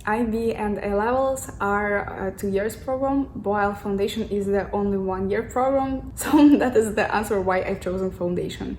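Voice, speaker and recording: A woman's medium-pitched voice with a Russian accent, fairly even in intonation, at a moderate pace with hardly any pauses, amid noticeable background noise and audible room echo. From Russia, Moscow. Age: 20s. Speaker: student vlogger. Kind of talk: casual vlog. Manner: halting.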